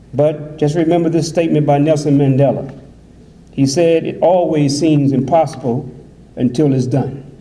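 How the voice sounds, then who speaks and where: A man speaks at a moderate pace in a flat monotone with fairly high pitch, with noticeable background noise and audible room echo. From USA. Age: 60s. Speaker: imam. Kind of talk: conference speech.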